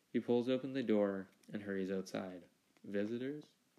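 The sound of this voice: Pitch varies in an ordinary way across this unforced reading voice.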